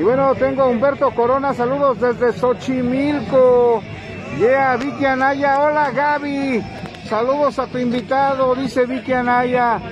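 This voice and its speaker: Talking at a fairly slow pace, a man with an extremely high pitch sounds dry with no echo while a crowd murmurs in the background. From Mexico. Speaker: internet radio host. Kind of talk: casual interview. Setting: mobile studio at street market. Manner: animated. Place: market.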